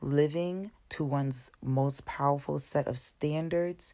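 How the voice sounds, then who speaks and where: Speaking very slowly with an American accent, a woman has a very deep, low pitch and a dark, mellow tone. Her pitch varies in an ordinary way, and the recording is very clean with a silent background. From Brockton, Massachusetts. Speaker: podcast host and personal trainer. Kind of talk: motivational solo podcast talk. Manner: casual, with frequent fillers.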